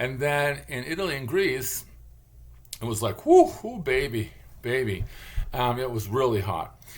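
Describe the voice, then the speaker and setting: Audible room echo surrounds a man who speaks at a fairly slow pace with an American accent. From Michigan, Detroit area. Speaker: vlogger, linguist. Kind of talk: casual monologue vlog. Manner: rambling, halting with fillers.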